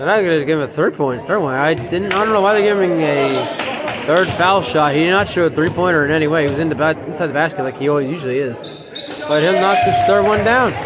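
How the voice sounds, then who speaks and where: A man speaks at a very fast pace with a fairly high pitch. Noticeable background noise and audible room echo fill the recording. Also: ordinary pitch variation. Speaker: amateur sports commentator. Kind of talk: live commentary. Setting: high school gym.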